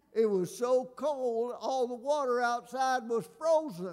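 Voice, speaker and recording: Speaking at a very slow pace, a man uses an extremely high pitch and lively intonation. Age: 70s. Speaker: retired pastor. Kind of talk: sermon. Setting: church.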